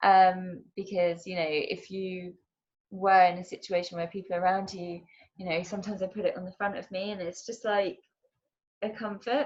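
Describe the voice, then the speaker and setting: Her pitch medium, a woman speaks at a moderate pace with fairly even intonation. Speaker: mental health speaker and fitness instructor. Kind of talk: online talk. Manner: hesitant, many fillers.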